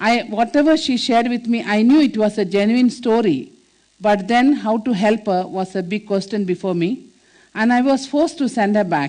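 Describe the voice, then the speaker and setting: A woman speaks in a Keralan accent at a moderate pace. Her fairly high voice moves with lively intonation. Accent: Indian English, Malayali. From India, Kerala (village). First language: Malayalam. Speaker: nun and social worker. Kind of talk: inspirational talk. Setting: stage with audience. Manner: halting, many fillers.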